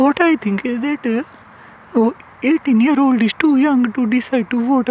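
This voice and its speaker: Noticeable background noise accompanies talking at a moderate speed. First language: not English. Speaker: YouTuber commentator. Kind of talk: casual monologue vlog. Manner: halting, many fillers.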